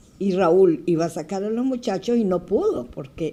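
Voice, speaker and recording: A woman at a very slow pace. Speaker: Red Cross volunteer, earthquake survivor. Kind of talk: testimony in TV interview.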